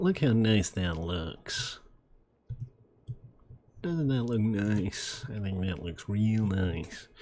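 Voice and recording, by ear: A man's put-on character voice, nasal and fairly low, very slow with long, frequent pauses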